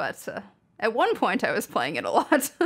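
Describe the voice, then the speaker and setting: A woman with a Canadian accent speaks with vocal fry. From Saskatchewan, Canada. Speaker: audio engineer and musician. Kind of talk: podcast interview.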